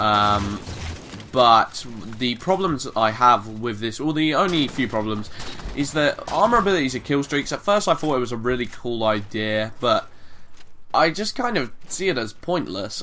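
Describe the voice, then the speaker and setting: There is noticeable background noise as a man speaks at medium pitch. His pace is moderate and his intonation lively. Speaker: gaming commentator. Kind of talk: video game commentary. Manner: casual, hesitant with many fillers.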